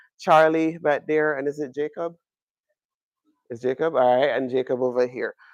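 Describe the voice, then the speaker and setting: A man with a Jamaican accent speaks at a moderate pace with a fairly high pitch and fairly even intonation. The sound is dry and close with no echo, against a quiet background. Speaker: astronomy professor. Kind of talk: public lecture. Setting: observatory with live audience.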